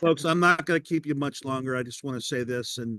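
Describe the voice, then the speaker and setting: At a moderate pace, a man with an unremarkable speaking voice talks at medium pitch with fairly even intonation, the sound dry and close with no echo. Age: 60s. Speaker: podcast host and public speaker. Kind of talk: casual interview chat. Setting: video call.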